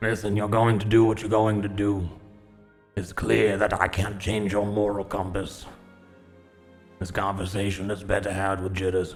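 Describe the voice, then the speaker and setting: A man's put-on character voice, fairly low in pitch, monotone and flat, at a moderate pace with long, frequent pauses and faint music in the background. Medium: actual play. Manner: whiny, mocking, petulant.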